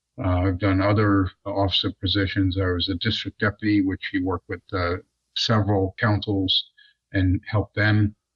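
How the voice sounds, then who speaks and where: In a fairly low, somewhat breathy voice, a man speaks at a moderate pace with monotone, flat intonation. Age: 60s. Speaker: deacon, retired aerospace worker. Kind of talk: casual interview. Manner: halting, many fillers.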